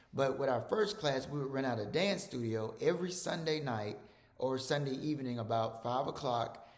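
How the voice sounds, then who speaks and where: A man with an American accent at a moderate pace, lively in intonation, with audible room echo. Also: medium pitch for a man. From Mississippi, US South. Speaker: physician. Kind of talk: presentation. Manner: repetitive, halting with fillers.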